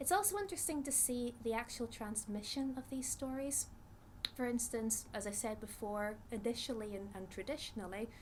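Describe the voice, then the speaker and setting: In a Northern Irish accent, a woman with a fairly high pitch speaks at a moderate pace with ordinary pitch variation. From Northern Ireland. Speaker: psychologist, researcher. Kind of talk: interview talk, explanatory. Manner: hesitant with frequent fillers.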